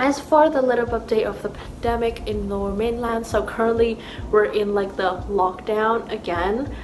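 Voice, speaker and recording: In a Thai accent, a woman speaks at a moderate pace and fairly high pitch, with audible room echo and noticeable background noise. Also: ordinary pitch variation. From Thailand. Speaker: YouTuber, university student. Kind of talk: casual chat. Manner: casual, filler-heavy.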